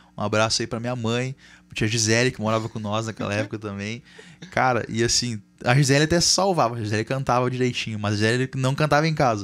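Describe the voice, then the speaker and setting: A man rattles along at a very fast pace, holding a medium pitch that varies in an ordinary way. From Brazil. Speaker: guitarist and music teacher; music teacher. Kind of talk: casual chat. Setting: studio. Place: studio. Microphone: studio mic.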